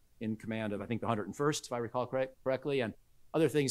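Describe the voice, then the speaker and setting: A man in a medium pitch with an American accent and ordinary pitch variation, in a very clean recording with a silent background. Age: 60s. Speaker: military expert. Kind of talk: lecture. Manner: halting.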